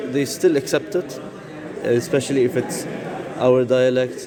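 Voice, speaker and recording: Over noticeable background noise and audible room echo, a man with a Syrian accent speaks at a medium pitch and a moderate pace. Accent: Syrian Arab accent in English. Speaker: exchange student interviewee. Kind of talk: interview.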